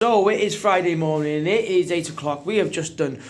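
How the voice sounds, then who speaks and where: Over noticeable background noise and audible room echo, a man with a North Welsh accent talks at a moderate pace. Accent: north Welsh (Wrexham). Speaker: fan channel host. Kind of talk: casual vlog chat. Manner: animated; whispering.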